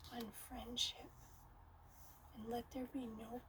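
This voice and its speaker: Noticeable background noise sits under speech delivered very slowly. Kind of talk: poetry reading. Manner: soft-spoken, relaxing.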